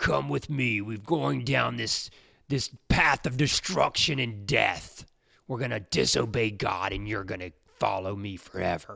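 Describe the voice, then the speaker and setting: A man's put-on character voice, fairly low in pitch, at a moderate pace, in a very clean recording with a silent background. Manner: evil, menacing.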